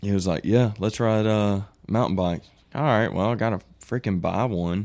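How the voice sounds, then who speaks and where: A man speaks in an American accent with a fairly low pitch. His pace is moderate. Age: 20s. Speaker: mountain biker. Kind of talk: casual chat. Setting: studio.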